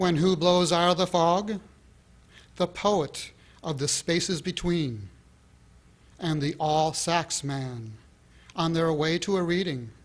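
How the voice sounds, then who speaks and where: A man with a high voice speaks at a very slow pace with long, frequent pauses and ordinary pitch variation, on a very clean recording with a silent background. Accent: American. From San Francisco Bay Area, USA. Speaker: poet. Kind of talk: poetry reading. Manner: mellow, soft.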